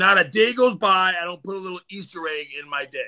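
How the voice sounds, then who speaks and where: Against a quiet background, a man speaks at a fairly quick pace in an animated, bright, sharp tone. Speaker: spiritual practitioner guest. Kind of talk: casual livestream chat. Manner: loud.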